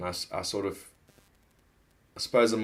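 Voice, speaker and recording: A man with a Zimbabwean accent speaks at a moderate pace in a fairly low pitch, his intonation monotone and flat. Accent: Zimbabwean accent noticeable. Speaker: political vlogger. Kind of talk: casual monologue. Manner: halting, many false starts.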